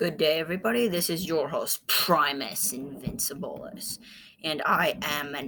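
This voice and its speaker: It is a put-on character voice at a middle pitch. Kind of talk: posh, formal. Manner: boastful.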